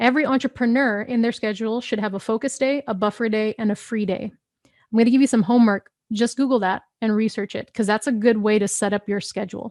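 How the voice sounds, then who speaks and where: Her tone is animated as this woman speaks at a fairly quick pace. The fairly high-pitched voice sounds dry and close, with no echo. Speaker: business coach. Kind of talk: live online training. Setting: live stream. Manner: fast.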